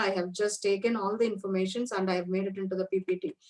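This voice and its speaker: This woman talks very fast, her intonation fairly even. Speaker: university lecturer. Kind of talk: lecture.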